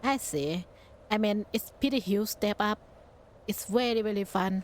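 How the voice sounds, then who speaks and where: Spoken at a moderate pace with a non-native accent, the voice shows ordinary pitch variation. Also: woman, medium pitch for a woman. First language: not English. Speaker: VTuber streamer. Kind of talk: game stream commentary.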